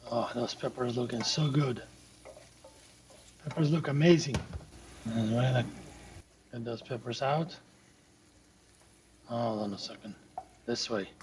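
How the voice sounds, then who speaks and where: A man speaks at a fairly slow pace with long, frequent pauses, his medium pitch showing ordinary variation, over noticeable background noise. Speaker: home cook. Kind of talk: cooking tutorial.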